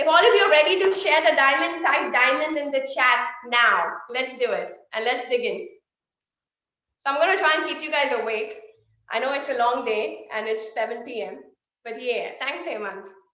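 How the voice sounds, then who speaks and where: Amid audible room echo, a woman projects a raised, high-pitched voice with a bright, sharp, animated tone and lively intonation. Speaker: sales trainer. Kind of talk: online workshop. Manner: fast.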